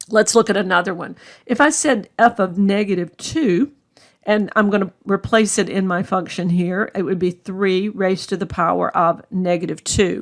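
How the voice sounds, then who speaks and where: A plain, everyday voice from a woman, medium in pitch with ordinary pitch variation and a moderate pace, on a very clean recording with a silent background. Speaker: math instructor. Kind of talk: lecture.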